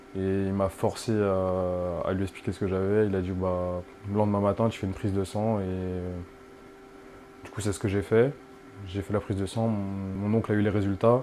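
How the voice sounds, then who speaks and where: The intonation is monotone and flat, at a moderate pace. Long, frequent pauses break up the speech. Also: man, fairly low pitch for a man. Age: 20s. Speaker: dialysis patient. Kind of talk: interview testimony. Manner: hesitant, many fillers.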